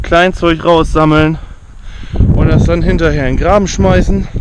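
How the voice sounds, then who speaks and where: With loud background noise, a man talks at a moderate pace in a dry sound with no echo. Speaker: gardener vlogger. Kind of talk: casual vlog chat. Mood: annoyed at slugs, casual. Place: garden. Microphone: phone near.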